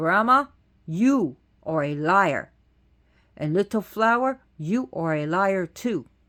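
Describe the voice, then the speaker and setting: Booming and raised, a put-on character voice projects at a middle pitch. It moves at a fairly slow pace with long, frequent pauses. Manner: accusing, commanding.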